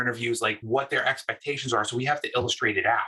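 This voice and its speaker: With a New York accent, a man talks at a medium pitch in a bright, sharp tone. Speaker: UX design manager. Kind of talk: talk and group discussion. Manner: animated.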